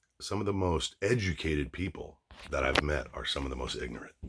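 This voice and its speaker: In a very clean recording with a silent background, a man with an American accent speaks at a moderate pace, his very deep, low pitch marked by vocal fry and ordinary pitch variation. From Los Angeles area, California. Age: 50s. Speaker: YouTuber. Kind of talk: casual monologue vlog. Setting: at home, dressing room. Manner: animated, profane; frequent fillers and restarts.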